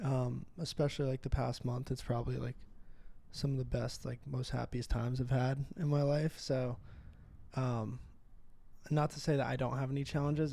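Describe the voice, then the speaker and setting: A man's dark, mellow, somewhat breathy voice, monotone and flat, with long, frequent pauses. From New York. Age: 20s. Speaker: guest. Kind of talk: casual chat.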